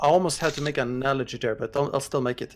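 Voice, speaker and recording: This man has a non-native accent. His pitch is medium. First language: not English. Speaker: esports analyst guest. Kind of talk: casual chat.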